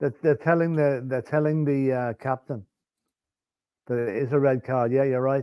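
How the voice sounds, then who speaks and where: With a slight English accent, the speaker keeps a moderate pace and fairly even intonation, broken by long, frequent pauses. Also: man, medium pitch for a man. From Ireland. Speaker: sports watchalong co-host. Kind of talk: live commentary.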